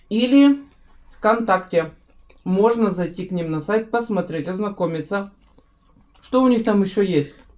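A woman's voice at a fairly slow pace, with ordinary pitch variation. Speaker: family food vlogger. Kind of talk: casual vlog chat. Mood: cheerful, relaxed. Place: home room. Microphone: camera far.

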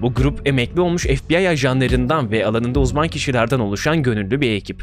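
There is light background noise as a man speaks at a fairly quick pace with very wide pitch swings. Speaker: true-crime YouTuber. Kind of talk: commentary narration. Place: home room. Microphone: studio mic.

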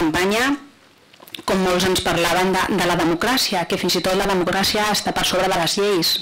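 A woman speaks at a medium pitch and a moderate pace. Loud background noise fills the recording. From Catalonia. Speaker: provincial councillor. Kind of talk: council debate. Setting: council chamber. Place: hall. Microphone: podium.

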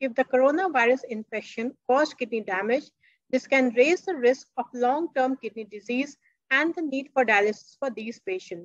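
Against a quiet background, a woman with a high voice speaks at a fairly quick pace, and the sound is dry with no echo. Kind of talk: lecture.

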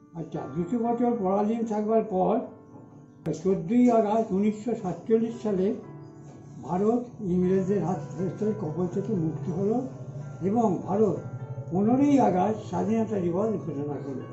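Lively intonation over clearly audible background music. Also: man, high pitch for a man. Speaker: oral history witness. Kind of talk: oral history recollection. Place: home room. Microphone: earbuds.

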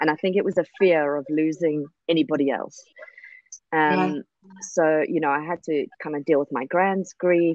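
A woman with a very deep, low voice speaks at a moderate pace with fairly even intonation, her dry, echo-free sound set against a quiet background. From South Africa. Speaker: social media professional. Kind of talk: casual interview. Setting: video call. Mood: somber, recounting childhood trauma. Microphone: video call.

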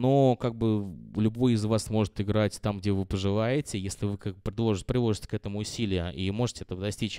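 Against a quiet background, with a dry sound and no echo, a man speaks fairly quickly in a dark, mellow tone, his pitch fairly low and his intonation fairly even. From Russia, Ulyanovsk; Russia. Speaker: DJ; DJ giving a master class. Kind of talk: master class lecture. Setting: classroom with live audience. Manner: halting, many fillers. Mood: relaxed, conversational. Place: classroom. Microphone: handheld.

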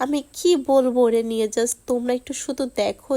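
A woman speaks in a high voice with a dark, mellow tone. Her intonation is fairly even. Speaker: vlogger. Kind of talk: casual vlog talk to viewers.

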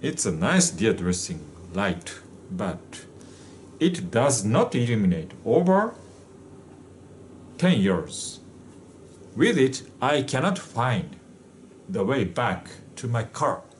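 A man speaks at a very slow pace with long, frequent pauses and very wide pitch swings. His voice is somewhat breathy over light background noise. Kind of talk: casual product demonstration. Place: office. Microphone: camera far.

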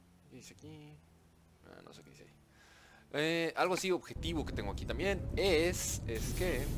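Recorded with audible room echo, a man speaks at a moderate pace, his loudness swinging widely and his speech broken by long, frequent pauses. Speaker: gaming YouTuber. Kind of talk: gameplay commentary. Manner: casual, hesitant with fillers.

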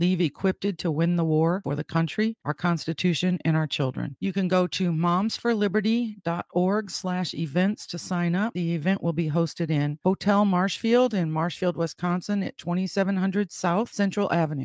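A woman's normal speaking voice, fairly low in pitch, at a moderate pace with hardly any pauses and a dry, close sound with no echo. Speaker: podcast host. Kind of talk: event announcement read.

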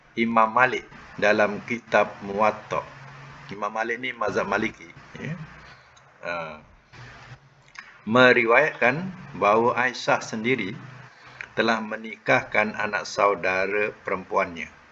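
A man talks at a very slow pace with long, frequent pauses and ordinary pitch variation, with light background noise. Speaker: religious teacher. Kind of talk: lecture. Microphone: video call.

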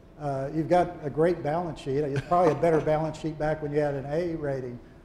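Audible room echo and light background noise surround a man with a fairly high voice. He talks at a fairly quick pace in a monotone, flat intonation. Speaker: retired aviation journalist and interviewer; on-stage interviewer or discussant. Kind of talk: onstage interview. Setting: stage with audience. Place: hall. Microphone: lapel.

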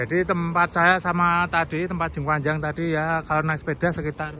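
Recorded dry with no echo and light background noise, a man speaks at a moderate pace in a monotone, flat delivery. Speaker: vlogger. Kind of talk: casual vlog narration. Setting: outdoors. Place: street. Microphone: phone near.

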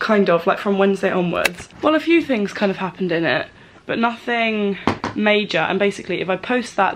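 Noticeable background noise surrounds the speaker, a woman. Her pitch variation is ordinary. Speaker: vlogger. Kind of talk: casual vlog chat. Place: home room. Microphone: phone near.

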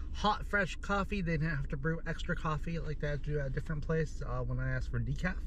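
A man is heard in a dry sound with no echo and light background noise. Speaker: food vlogger. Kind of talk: casual vlog chat. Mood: happy, enthusiastic. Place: car. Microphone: phone near.

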